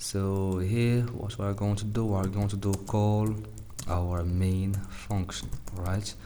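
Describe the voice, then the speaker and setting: A man's fairly low voice with a non-native accent, at a fairly slow pace, in a room with audible echo. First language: not English. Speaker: programming tutorial youtuber. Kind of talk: coding tutorial. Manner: halting, many fillers; casual.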